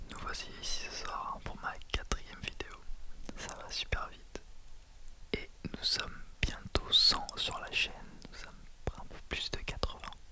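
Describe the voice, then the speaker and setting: Whispering at a fairly slow pace, a man leaves long, frequent pauses, with big swings in loudness and noticeable background noise. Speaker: ASMR creator. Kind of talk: ASMR whisper talk to viewers. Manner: whispered.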